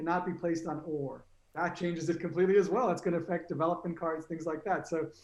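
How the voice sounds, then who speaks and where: A man with an American accent speaks at a very fast pace. His high voice is monotone, with flat intonation. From United States. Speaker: mind sports tournament organiser. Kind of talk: casual chat. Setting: live stream. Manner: halting.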